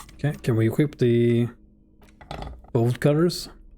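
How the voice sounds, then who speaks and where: A man with a non-native accent speaks fairly slowly at a medium pitch with ordinary pitch variation. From Sweden. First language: Swedish. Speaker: game streamer. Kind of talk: live gameplay commentary. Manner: casual, reading game text aloud.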